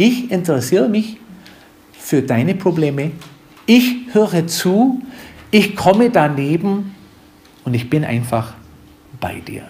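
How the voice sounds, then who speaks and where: A man with a high, warm voice talks at a very slow pace, his pitch swinging very widely between long, frequent pauses. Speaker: pastor. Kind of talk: sermon. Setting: church. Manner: didactic, earnest, warm; unhurried, explaining verse by verse.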